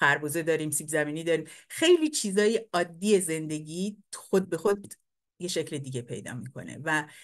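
A woman's very deep, low voice at a moderate pace, with ordinary pitch variation and big swings in loudness, over a quiet background. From Iran, Abadan; Iran. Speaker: painter and poet; poet. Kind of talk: lecture. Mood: warm, reflective. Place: home room. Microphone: webcam.

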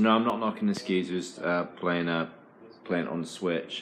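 A man with a British accent speaks at a moderate pace with a fairly low pitch. His intonation is fairly even, with light background noise. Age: 40s. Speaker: gaming video creator. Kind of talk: casual rant. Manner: halting, repeats words. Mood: irritated, ranting. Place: home room. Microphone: phone near.

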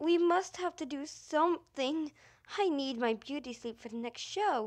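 A woman performs a put-on character voice that is high-pitched and whiny. Her intonation is lively and her pace moderate. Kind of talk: amateur fan comic dub. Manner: irritable, whiny, exasperated.

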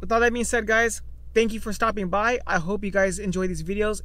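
The sound is dry, without any echo. A man speaks fairly quickly. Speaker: car owner vlogger. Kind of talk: casual vlog chat. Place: car. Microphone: phone near.

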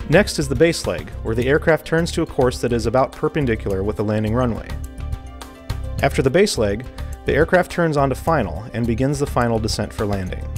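Faint music sits in the background while a man talks at a fairly quick pace. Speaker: air traffic control instructor. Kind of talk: tutorial. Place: studio. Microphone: lapel.

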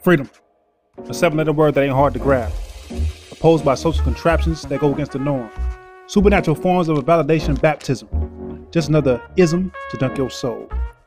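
Backed by music, the man speaks at a fairly quick pace. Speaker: spoken word poet. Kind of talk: spoken word poetry performance over music. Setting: music bed behind voice.

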